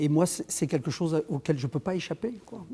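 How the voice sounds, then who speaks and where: The voice belongs to a man. It sounds dark and mellow. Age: 60s. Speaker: choreographer. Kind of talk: conversational interview. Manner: halting, many repetitions and fillers.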